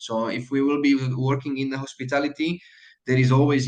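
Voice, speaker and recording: At a moderate pace, a man speaks at medium pitch. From Slovakia. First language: Slovak. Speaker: hotel manager. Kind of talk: mentoring talk to students. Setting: video call. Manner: halting, many fillers.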